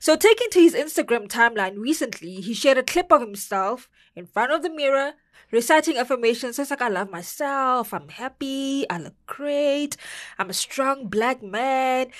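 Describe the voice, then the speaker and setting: Against a quiet background, a woman with a South African accent speaks at a high pitch in an animated tone, with lively intonation, big swings in loudness and a moderate pace. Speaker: entertainment podcast co-host. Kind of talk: casual entertainment news chat.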